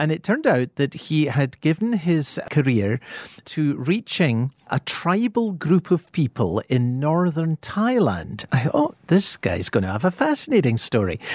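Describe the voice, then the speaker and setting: Speaking with a Scottish accent, a man at a fairly high pitch makes very wide pitch swings at a fairly slow pace with hardly any pauses, in a very clean recording with a silent background and a dry, close sound with no echo. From Scotland. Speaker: pastor and author. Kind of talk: radio interview about the Bible.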